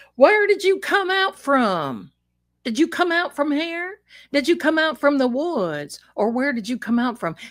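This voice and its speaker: A woman in a put-on character voice drawls in a strong Southern US accent, her high pitch swinging very widely at a moderate pace. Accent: thick Southern drawl. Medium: solo performance. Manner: folksy, drawling, proud.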